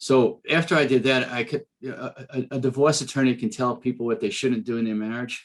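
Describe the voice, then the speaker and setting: Talking at a fairly quick pace with hardly any pauses, a man with a Bronx accent has a medium pitch and ordinary pitch variation. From New York City, the Bronx. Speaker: business coach and speaker, former trial attorney. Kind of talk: podcast interview.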